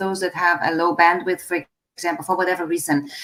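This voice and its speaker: Intonation stays fairly even as a woman talks at a medium pitch. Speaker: live stream host. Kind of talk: interview on a live stream. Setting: video call live stream. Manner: fast.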